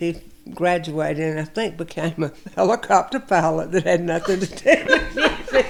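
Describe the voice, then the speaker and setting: With a Southern US accent, a woman speaks at a moderate pace in a fairly low pitch, with ordinary pitch variation and noticeable background noise. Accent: Southern American. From Milledgeville, Georgia. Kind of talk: interview answer.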